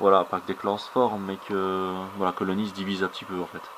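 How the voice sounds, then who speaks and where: Speaking at a moderate pace, a man with a Belgian accent uses a very deep, low pitch over noticeable background noise. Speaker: ant keeping hobbyist video blogger. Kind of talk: casual commentary on ant colony footage. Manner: hesitant, frequent fillers; careful articulation.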